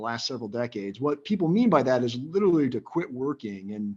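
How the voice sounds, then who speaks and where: Here a man talks at a fairly quick pace, his medium-pitched voice moving with lively intonation. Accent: American. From US Midwest, Northwest Iowa. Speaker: financial advisor. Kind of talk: interview.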